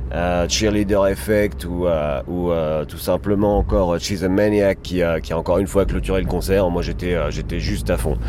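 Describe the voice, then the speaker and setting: With noticeable background noise, a man with a very deep, low voice speaks at a fairly slow pace. He takes hardly any pauses, and his pitch swings very widely. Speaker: podcast co-host. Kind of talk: casual chat. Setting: in a car.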